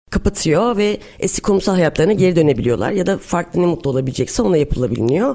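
In an ordinary speaking voice, a woman talks at a fairly low pitch with lively intonation. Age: 40s. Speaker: startup founder. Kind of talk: interview.

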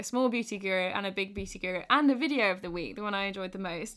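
In a British accent, a woman talks very fast with a bright, sharp tone and ordinary pitch variation, on a very clean recording with a silent background. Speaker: podcast host. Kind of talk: casual chat. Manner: laughs often.

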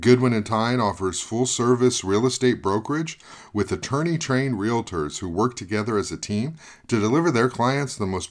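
On a very clean recording with a silent background, a man speaks at a moderate pace in a normal speaking voice, with medium pitch and lively intonation. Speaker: podcast host. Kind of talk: interview.

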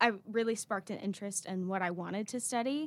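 A woman's plain, everyday voice at medium pitch, with an American accent, ordinary pitch variation and a moderate pace, on a very clean recording with a silent background. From North Carolina (Raleigh). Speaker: university student. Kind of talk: interview.

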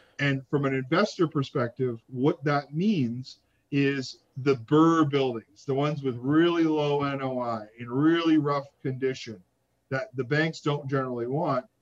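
A man with a Canadian accent has a plain, everyday voice. He talks at a fairly slow pace with a fairly high pitch and ordinary pitch variation. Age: 30s. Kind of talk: interview.

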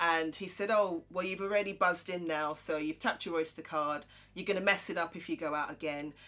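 A woman with a London accent talks fairly quickly in a fairly low voice, her intonation fairly even. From Croydon, south London. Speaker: podcast co-host, accountant and presenter. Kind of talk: casual chat.

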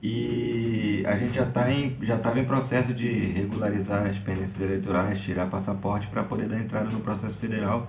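A man at a fairly low pitch and fairly quick pace, with fairly even intonation and hardly any pauses, amid audible room echo and music in the background. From Brazil, Recife. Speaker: filmmaker sending a question. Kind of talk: recorded voice question.

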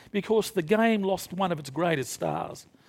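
A man with an Australian accent talks at a moderate pace with very wide pitch swings, in a very clean recording with a silent background. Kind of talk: panel talk before live audience. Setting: stage with audience.

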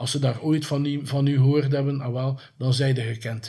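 Somewhat breathy and dark, mellow in tone, the man's voice keeps a medium pitch with fairly even intonation. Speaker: horror filmmaker and streaming platform owner. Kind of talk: interview. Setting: at the guest's home or office. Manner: repeats words, halting.

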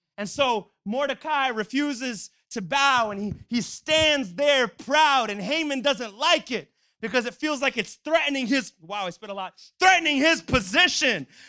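At a moderate pace, a man in a raised, projected voice with an extremely high pitch, a bright, sharp, animated tone, lively intonation and big swings in loudness comes through with a dry, close sound with no echo. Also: very clean recording, silent background. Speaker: preacher. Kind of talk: sermon. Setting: church. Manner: animated, exhorting, call-and-response.

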